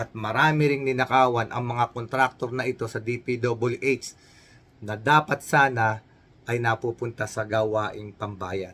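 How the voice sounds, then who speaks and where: A man speaks fairly slowly in a bright, sharp tone with fairly even intonation. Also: medium pitch for a man. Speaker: news commentary vlogger. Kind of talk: news reaction commentary.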